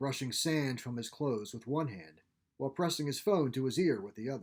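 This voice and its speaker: With a normal speaking voice at a medium pitch, a man talks at a fairly quick pace on a very clean recording with a silent background. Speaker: author narrating his own fiction. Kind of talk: audiobook-style crime story reading.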